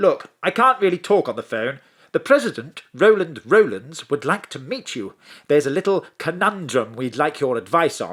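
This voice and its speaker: With an English accent and vocal fry, a man of fairly high pitch talks at a moderate pace, his pitch swinging very widely. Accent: posh English, plummy. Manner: polite, formal.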